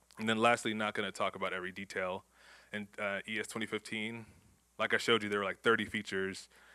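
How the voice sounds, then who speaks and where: A man with an American accent speaks at a very fast pace in a monotone, flat intonation. His fairly low voice has a bright, sharp tone on a very clean recording with a silent background. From Houston, Texas. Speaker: conference speaker, software developer. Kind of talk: conference talk.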